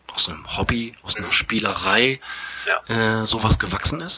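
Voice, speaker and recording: At a moderate pace, a man of medium pitch talks over noticeable background noise. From Bremerhaven, northern Germany. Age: 40s. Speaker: theatre manager and improv actor. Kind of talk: casual interview. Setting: theatre venue.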